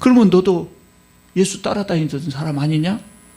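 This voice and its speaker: The speaker is a man with lively intonation. He goes at a fairly slow pace. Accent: Jeolla. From Korea, Jeolla province. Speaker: pastor. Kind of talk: sermon. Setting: church.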